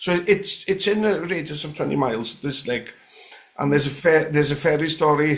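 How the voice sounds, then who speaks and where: Someone with a North Welsh accent speaks at a fairly quick pace. Pitch variation is ordinary. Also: man. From North West Wales (Gwynedd). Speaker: guest sharing paranormal stories. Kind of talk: casual interview chat. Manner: hesitant, many fillers and restarts.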